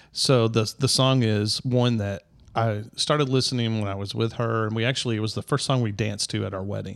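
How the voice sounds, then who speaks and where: Speaking at a fairly quick pace with a Southern US accent, the voice keeps a fairly even intonation. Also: man, medium pitch for a man. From US South, Middle Tennessee. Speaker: podcast guest. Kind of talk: casual chat.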